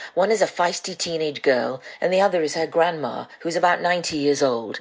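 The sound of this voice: The speaker is a woman with low pitch. She talks at a fairly quick pace.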